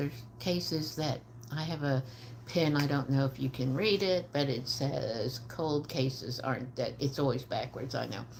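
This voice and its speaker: Speaking with an American accent, the voice keeps fairly even intonation at a fairly slow pace. Background noise is noticeable. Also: woman. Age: 70s. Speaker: trauma psychologist and homicide survivor advocate. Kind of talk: livestream talk to viewers. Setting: live video stream. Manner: hesitant, many fillers.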